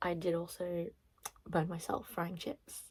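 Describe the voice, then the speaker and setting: A woman speaks in a fairly low pitch, her voice somewhat breathy. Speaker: booktuber. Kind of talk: casual vlog chat.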